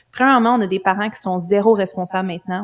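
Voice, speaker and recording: This woman has a medium pitch and keeps her intonation fairly even. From Quebec. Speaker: life coach and mother. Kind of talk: casual interview conversation.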